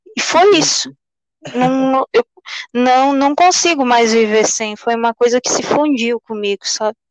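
A woman's high-pitched voice at a fairly slow pace, with ordinary pitch variation and a dry, close sound with no echo. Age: 20s. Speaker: poet. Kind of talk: interview. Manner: halting.

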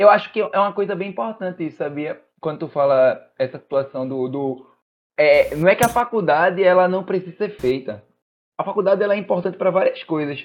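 A man's high-pitched voice with lively intonation. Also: fairly quick pace. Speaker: podcast host. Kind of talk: casual chat.

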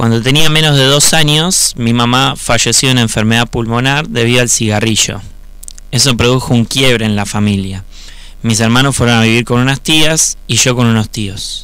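A man's medium-pitched voice is heard through noticeable background noise. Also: ordinary pitch variation, moderate pace. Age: 30s. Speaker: electronics engineer and secondary school teacher. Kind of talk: personal testimony.

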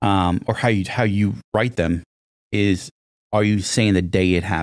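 An unremarkable speaking voice from a man, fairly low-pitched, with an American accent, fairly even intonation and a moderate pace, on a very clean recording with a silent background and a dry, close sound with no echo. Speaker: police officer and narcotics instructor. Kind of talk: casual chat. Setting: studio.

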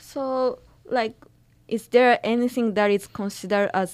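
The speaker has a Japanese accent and ordinary pitch variation, moving at a fairly slow pace. The recording is very clean, with a silent background. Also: woman. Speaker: student podcast host. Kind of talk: interview.

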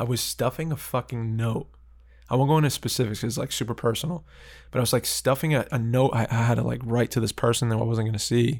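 On a very clean recording with a silent background, a man speaks quietly and somewhat breathily at a very fast pace, his medium pitch held to fairly even intonation. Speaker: podcast co-host and actor. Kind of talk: casual chat. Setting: studio.

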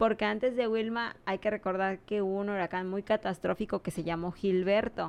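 A woman with an unremarkable speaking voice speaks at a medium pitch and moderate pace, with fairly even intonation and hardly any pauses, over a quiet background. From Mexico, Cancún. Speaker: hurricane survivor sharing experiences. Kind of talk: casual chat.

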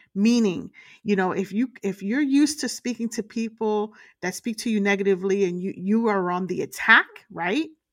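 Animated in tone, a woman with a New York accent speaks at a moderate pace and medium pitch with ordinary pitch variation, on a very clean recording with a silent background. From Brooklyn, New York. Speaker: podcast host and motivational speaker. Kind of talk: motivational talk.

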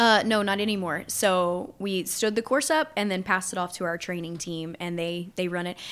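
A woman with a Louisiana accent speaks at a medium pitch and moderate pace, with ordinary pitch variation, on a very clean recording with a silent background. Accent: Southern US (Louisiana). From Southwest Louisiana. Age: 30s. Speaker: preparedness instructor. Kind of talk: casual chat.

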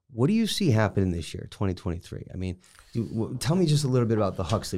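A man with an American accent speaks in a fairly low, dark, mellow voice on a very clean recording with a silent background. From Connecticut. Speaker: podcast host and real estate team leader. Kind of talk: casual interview chat.

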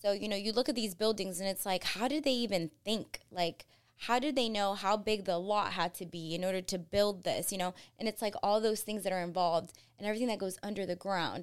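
In a very clean recording with a silent background, a woman speaks in an unremarkable speaking voice at a medium pitch with ordinary pitch variation. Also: fairly quick pace. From New Jersey, US (born in Colombia, moved at five). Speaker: real estate broker. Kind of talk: interview.

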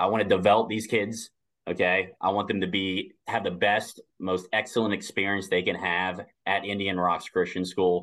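This man has a fairly low voice and an American accent. He talks at a moderate pace with monotone, flat intonation. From South Florida. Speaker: high school athletic director. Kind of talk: casual chat.

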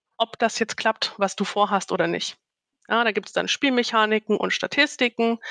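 Heard dry and close with no echo, a woman has an unremarkable speaking voice at a medium pitch and a moderate pace. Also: quiet background. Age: 30s. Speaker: game master and team-building facilitator. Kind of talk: casual interview chat.

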